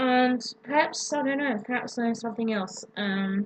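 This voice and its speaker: This speaker has an Australian accent. The pace is moderate. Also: woman. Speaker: vlogger. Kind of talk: casual vlog. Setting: home, late at night. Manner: hesitant, many ums. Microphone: laptop microphone.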